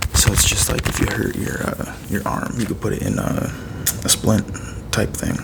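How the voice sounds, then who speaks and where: Over noticeable background noise, a soft-spoken man talks in a relaxed tone at a moderate pace. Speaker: ASMR content creator. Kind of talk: ASMR unboxing, casual talk to camera. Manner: soft-spoken, relaxed.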